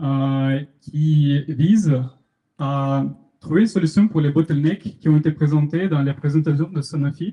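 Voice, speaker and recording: A dark, mellow, somewhat breathy tone with fairly even intonation at a fairly slow pace. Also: man, fairly high pitch for a man. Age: 20s. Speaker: student startup founder presenting. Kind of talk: meetup tech talk with live demo. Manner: hesitant, many fillers.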